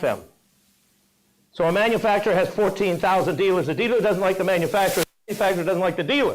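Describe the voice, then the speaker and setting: There is audible room echo as a man with a high pitch speaks with ordinary pitch variation. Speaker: motivational speaker. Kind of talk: keynote speech. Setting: stage with audience. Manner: fast; animated.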